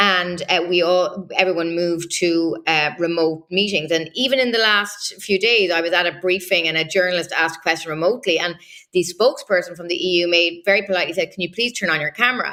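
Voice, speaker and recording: Her tone is bright and sharp, with a fairly low pitch and ordinary pitch variation. This woman talks very fast with hardly any pauses. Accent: Irish. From Ireland. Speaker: political journalist. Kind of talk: interview analysis.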